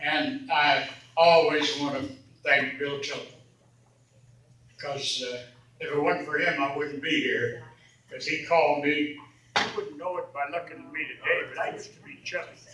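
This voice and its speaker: Amid noticeable background noise and audible room echo, a man speaks at a moderate pace, leaving long, frequent pauses, and his loudness swings widely. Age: 80s+. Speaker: retired trucking boss speaking at a reunion. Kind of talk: reunion speech. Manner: folksy, conversational.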